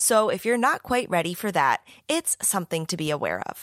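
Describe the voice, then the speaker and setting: Recorded very cleanly against a silent background with a dry, close sound and no echo, a woman speaks at medium pitch and a moderate pace in an ordinary speaking voice with lively intonation. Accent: American. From US. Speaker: podcast host and young adult author. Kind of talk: casual interview chat; scripted outro narration.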